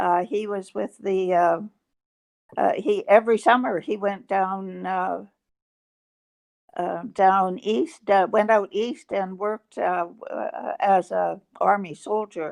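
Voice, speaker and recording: Against a quiet background, a woman speaks very slowly at a medium pitch with ordinary pitch variation. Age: 80s+. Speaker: World War II era civilian. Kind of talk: interview answer. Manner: hesitant, reflective.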